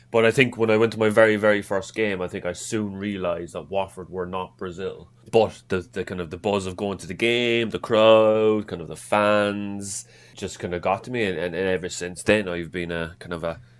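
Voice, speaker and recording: Speaking with an Irish accent, a man keeps a moderate pace and fairly even intonation at a fairly low pitch, with hardly any pauses. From Ireland, Cork. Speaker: football fan. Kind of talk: podcast interview. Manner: halting, many repeated words.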